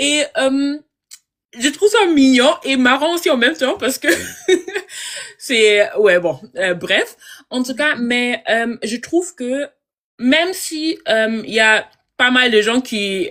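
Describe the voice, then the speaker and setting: High-pitched woman with lively intonation and long, frequent pauses. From Germany, Congolese family. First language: German and Lingala (speaking French). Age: 20s. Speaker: IT consultant. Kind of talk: live interview. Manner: halting, many fillers.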